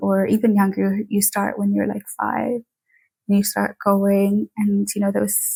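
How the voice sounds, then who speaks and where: A woman talks at a moderate pace and a medium pitch. Her tone is dark and mellow, and somewhat breathy. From Tanzania. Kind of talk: interview. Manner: casual, many fillers.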